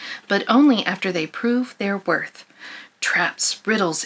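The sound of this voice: The voice is an unforced reading voice, and its pitch varies in an ordinary way.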